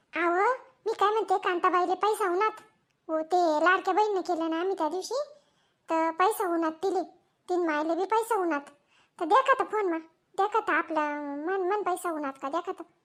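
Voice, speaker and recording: A woman's put-on character voice at an extremely high pitch, moderate pace and ordinary pitch variation, in a very clean recording with a silent background. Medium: comedy sketch. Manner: rustic, fast.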